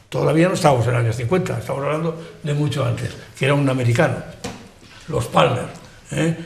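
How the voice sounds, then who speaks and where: A man talks at a very fast pace, broken by long, frequent pauses. Noticeable background noise and audible room echo surround his voice. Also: fairly high pitch for a man, ordinary pitch variation. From Spain, Benidorm (Valencian region). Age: 80s+. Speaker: local elder and historian. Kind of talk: panel discussion on TV. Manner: halting, repetitive.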